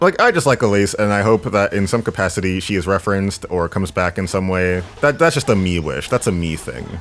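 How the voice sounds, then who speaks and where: A man's fairly low voice at a very fast pace, with lively intonation, hardly any pauses and noticeable background noise. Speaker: gaming YouTuber. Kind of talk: gameplay commentary. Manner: animated.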